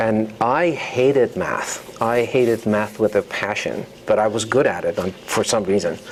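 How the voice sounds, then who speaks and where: A voice in a Persian accent at a moderate pace, with hardly any pauses, ordinary pitch variation and noticeable background noise. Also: man, medium pitch for a man. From Iran. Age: 50s. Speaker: novelist. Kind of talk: author talk. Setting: university lecture hall with audience. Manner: hesitant, many fillers.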